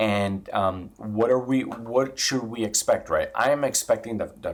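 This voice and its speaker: A man's medium-pitched, animated voice amid noticeable background noise. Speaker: housing market YouTuber. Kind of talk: casual commentary video. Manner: fast.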